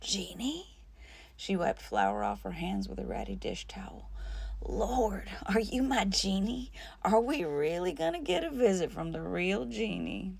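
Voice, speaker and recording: A woman puts on a raspy character voice. She talks at a moderate pace. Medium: read story.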